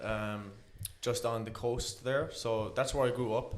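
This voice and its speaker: A man with an Irish accent, very slow pace and fairly even intonation, plus audible room echo. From Ireland, County Kerry. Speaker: interview guest. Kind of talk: personal life story interview. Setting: on camera studio.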